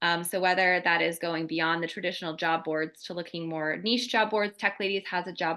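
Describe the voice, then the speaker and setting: A woman's fairly low pitch and bright, sharp tone at a fairly quick pace. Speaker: career coach. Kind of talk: webinar Q&A. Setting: video webinar. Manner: halting, many fillers.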